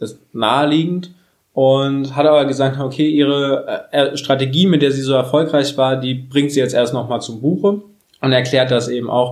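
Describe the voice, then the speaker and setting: This man uses an ordinary speaking voice at a moderate pace. His pitch is fairly high and his intonation fairly even. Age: 30s. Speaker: podcast host. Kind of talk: casual chat.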